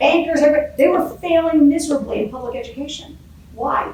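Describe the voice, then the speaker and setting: A woman's loud voice with lively intonation at a fairly quick pace, plus audible room echo and noticeable background noise. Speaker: career coach and executive advisor. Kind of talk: interview. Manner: fast.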